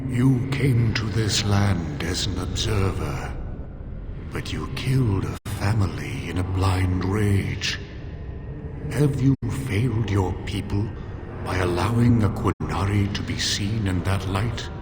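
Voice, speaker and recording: A man does a put-on character voice at a fairly slow pace, with clear echo and loud background noise. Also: fairly low pitch for a man. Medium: machinima. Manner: grave, formal.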